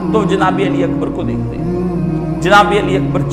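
A man speaks at a very slow pace. Clear music plays in the background. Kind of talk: religious lecture. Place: home room. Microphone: lapel.

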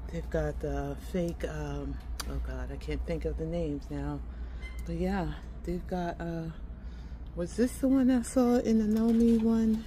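With light background noise, a woman talks at a fairly slow pace and leaves long, frequent pauses. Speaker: shopping vlogger. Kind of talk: casual vlog chat. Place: shop. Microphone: phone near.

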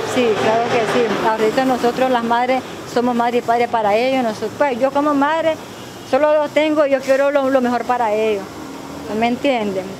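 There is noticeable background noise as a woman speaks with a fairly high pitch. Her pace is moderate and her intonation fairly even. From Nicaragua, Boaco; Nicaragua. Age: 30s. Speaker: single mother seeking aid. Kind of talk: news interview testimony; interview answer. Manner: halting, many repetitions and fillers. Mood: pleading, earnest. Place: street. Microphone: handheld.

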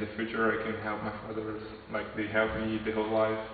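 A man's medium-pitched voice with a Portuguese accent, over noticeable background noise and audible room echo. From Brazil. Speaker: computer science student. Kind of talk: interview answers. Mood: hopeful, sincere.

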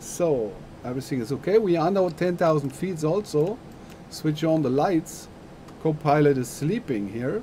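With a German accent, a man speaks at a fairly slow pace in a fairly high pitch and lively intonation, over light background noise. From Germany. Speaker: flight sim streamer. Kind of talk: live-stream tutorial. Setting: live stream. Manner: halting. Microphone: headset.

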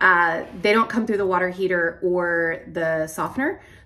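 A woman with a bright, sharp tone and ordinary pitch variation talks over light background noise. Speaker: homeowner vlogger. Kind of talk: casual vlog chat. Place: kitchen. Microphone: phone near.

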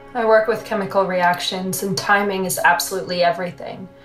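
Music in the background along with audible room echo. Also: woman. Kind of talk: scripted monologue. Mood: wry, languid, confiding. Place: bathroom.

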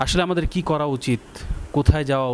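Light background noise sits under the voice. The man's intonation stays fairly even. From Bangladesh. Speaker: interview show host. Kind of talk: religious interview. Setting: studio. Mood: earnest, reflective. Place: home room. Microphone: lapel.

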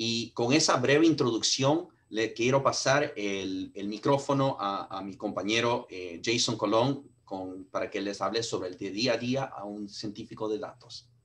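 A man with an ordinary speaking voice at a medium pitch talks at a fairly slow pace, with ordinary pitch variation and big swings in loudness. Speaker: sales director. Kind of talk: webinar introduction. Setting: video call. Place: home room. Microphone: video call.

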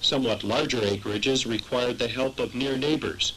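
Against noticeable background noise, a man talks at a fairly quick pace in a medium pitch with ordinary pitch variation. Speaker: documentary narrator. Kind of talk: history documentary narration, scripted and read aloud. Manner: measured, formal, even-paced.

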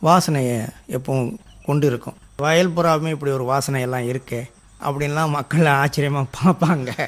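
Here is an ordinary speaking voice from a man with a fairly high pitch. His intonation is fairly even. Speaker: retired headmaster turned organic farmer. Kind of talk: radio interview. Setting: radio studio.

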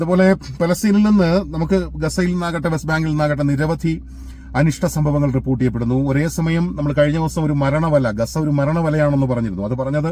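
Pitched fairly high, a man with a plain, everyday voice speaks with ordinary pitch variation. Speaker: news commentator. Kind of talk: news commentary monologue.

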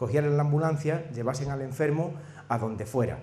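A man at medium pitch with a dark, mellow tone, a fairly quick pace and ordinary pitch variation.

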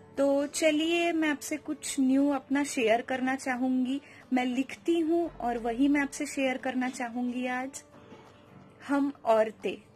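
A woman's high voice at a very slow pace, fairly even in intonation, over faint music in the background. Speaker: vlogger. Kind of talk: casual vlog chat. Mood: calm, warm. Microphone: phone near.

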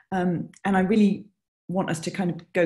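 A woman with a British accent speaks at a moderate pace in a fairly low pitch. Her tone is dark and mellow, and somewhat breathy. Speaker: music supervisor. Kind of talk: interview. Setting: video call.

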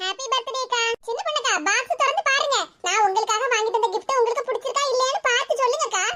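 A cartoonish character voice from a woman, extremely high in pitch, at a fairly quick pace. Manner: sweet, eager, affectionate.

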